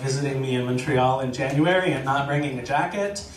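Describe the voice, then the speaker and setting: Over noticeable background noise and audible room echo, a man with an American accent talks at a fairly quick pace and medium pitch. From United States. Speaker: storyteller. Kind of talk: live storytelling. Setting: stage with audience.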